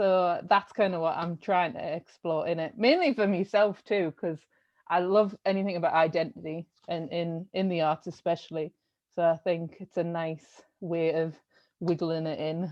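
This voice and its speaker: In a strong North East English accent, a woman speaks at a moderate pace with a fairly low pitch and fairly even intonation. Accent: thick North East English. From North East England, Sunderland. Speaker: art curator. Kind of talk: interview.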